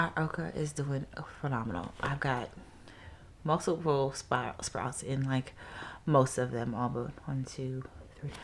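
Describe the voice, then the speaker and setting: A woman's very deep, low voice with vocal fry, ordinary pitch variation and long, frequent pauses. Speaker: gardening vlogger. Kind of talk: casual vlog. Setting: at home, indoors. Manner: casual, filler-heavy.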